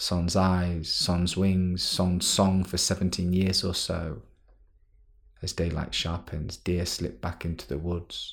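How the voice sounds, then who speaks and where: A man talks in a very deep, low voice that is somewhat breathy. His intonation is flat and monotone, and his pace is very slow. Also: very clean recording, silent background. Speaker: podcast host; science poetry podcast host, academic. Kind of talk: spoken word poetry, reading poems aloud.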